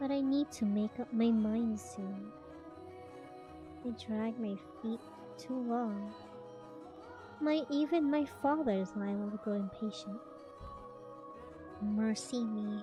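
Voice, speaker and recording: Soft-spoken and fairly high-pitched, a woman talks at a very slow pace with long, frequent pauses and lively intonation while music plays in the background. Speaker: VTuber streamer. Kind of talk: live-stream reading of a visual novel with chatty asides.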